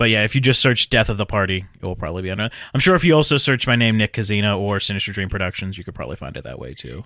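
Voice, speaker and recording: A man talks at a very fast clip in a bright, sharp, fairly low voice with vocal fry, lively intonation and big jumps in loudness, on a very clean recording with a silent background. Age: 20s. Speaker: filmmaker and writer. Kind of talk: casual interview chat. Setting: studio.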